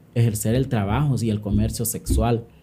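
Somewhat breathy and dark, mellow in tone, a man speaks at a medium pitch and a moderate pace. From Honduras, San Pedro Sula. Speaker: activist and social psychologist. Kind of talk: interview conversation.

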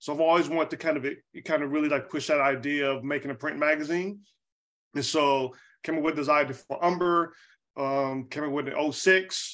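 A man talks at a fairly quick pace in an ordinary speaking voice, with fairly high pitch and fairly even intonation. The background is quiet. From US South, Charlotte, North Carolina. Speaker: graphic designer and creative director. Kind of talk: interview, casual chat. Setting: video call.

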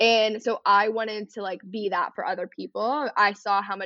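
A woman with a plain, everyday voice speaks at medium pitch and a moderate pace with an American accent. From Texas, north of Dallas. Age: 20s. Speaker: content creator. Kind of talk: casual chat.

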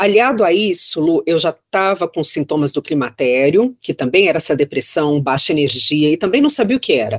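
Fairly quick speech with hardly any pauses and very wide pitch swings, in a dry, close sound with no echo. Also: woman, fairly low pitch for a woman. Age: 50s. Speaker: federal judge. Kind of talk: casual chat.

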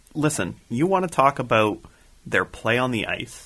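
An ordinary speaking voice from a man with a Canadian accent, medium in pitch, at a moderate pace, on a very clean recording with a silent background. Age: 20s. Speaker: podcast co-host. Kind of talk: casual chat.

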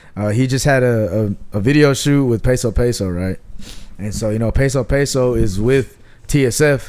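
A plain man's voice at a middle pitch and a moderate pace, with normal rises and falls, a normal speaking voice throughout. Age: 20s. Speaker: podcast co-host. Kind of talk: casual chat. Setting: at home.

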